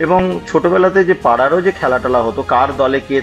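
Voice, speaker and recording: With music playing behind him, a man talks with normal rises and falls in pitch. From West Bengal, India (Pujali, Budge Budge). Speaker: healthcare entrepreneur. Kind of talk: interview storytelling. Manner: hesitant with fillers.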